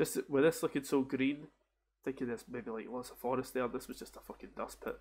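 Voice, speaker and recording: Speaking at a fairly quick pace, a man with a Scottish accent keeps a medium pitch and fairly even intonation. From Scotland. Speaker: game streamer. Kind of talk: casual gaming commentary. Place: home room. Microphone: headset.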